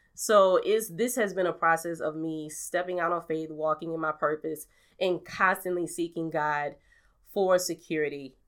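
A woman with an American accent speaks at a moderate pace in a fairly low pitch, with an unremarkable speaking voice. Her intonation stays fairly even, and the recording is very clean with a silent background. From New Orleans, US South. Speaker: podcaster and radio personality. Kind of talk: casual conversational interview.

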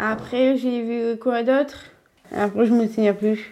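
Fairly high in pitch, a woman's voice keeps a fairly even intonation. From northern France, Lille area. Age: 20s. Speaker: young woman with Down syndrome. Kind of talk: interview. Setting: at home. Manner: halting.

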